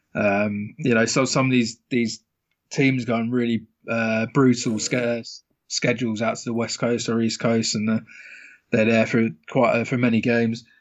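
A man with a British accent, medium pitch, monotone, flat intonation and a moderate pace. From UK. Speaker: professional sports bettor. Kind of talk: casual interview.

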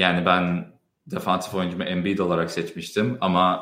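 A man speaks with a slight American accent in a very deep, low pitch. His intonation is monotone and flat, at a fairly slow pace with audible room echo. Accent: slight American accent in Turkish. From US Midwest, Chicago (Turkish heritage). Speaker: basketball podcast host, data analyst. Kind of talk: casual live-stream chat.

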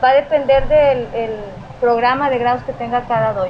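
Over noticeable background noise, a woman talks at a very fast pace in a high pitch with ordinary pitch variation. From Mexico, Tamaulipas (Ciudad Victoria). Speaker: judo instructor. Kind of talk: interview. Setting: dojo.

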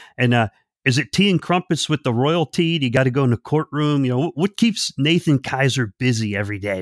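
A man with a plain, everyday voice speaks at a medium pitch with lively intonation, the sound dry and close with no echo. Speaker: podcast co-host. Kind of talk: casual podcast interview. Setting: remote call.

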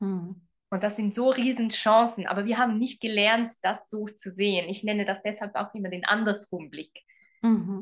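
Her voice is an ordinary speaking voice, a woman at medium pitch with fairly even intonation. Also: moderate pace. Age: 40s. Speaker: relationship coach. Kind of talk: interview.

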